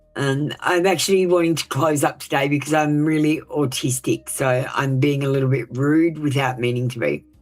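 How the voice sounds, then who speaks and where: With music in the background, a woman speaks in a very deep, low pitch. She keeps a moderate pace with hardly any pauses. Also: fairly even intonation. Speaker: tarot reader. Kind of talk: live stream reading. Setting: live stream. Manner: sounds passionate, intense tone.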